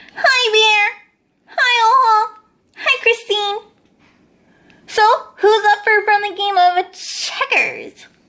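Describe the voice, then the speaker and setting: Using a put-on character voice, a woman squeaks at an extremely high pitch, talking fairly slowly with long, frequent pauses. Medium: read story. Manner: huffy, self-pitying.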